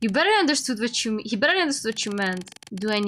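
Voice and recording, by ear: The voice is reading aloud in a natural voice with lively intonation.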